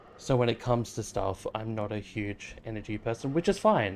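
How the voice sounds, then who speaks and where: An Australian accent from a man of medium pitch at a moderate pace. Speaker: game streamer. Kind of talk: casual chat. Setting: live stream. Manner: low energy, chill.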